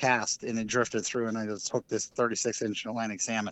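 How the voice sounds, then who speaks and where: A man is speaking. He has an American accent. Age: 40s. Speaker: fly tyer and dubbing maker. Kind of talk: casual chat.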